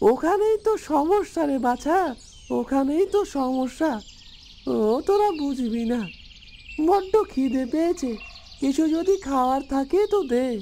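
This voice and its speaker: Over clear background noise, a cartoonish character voice speaks in a high pitch. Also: moderate pace. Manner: plaintive, familiar, calls others affectionately.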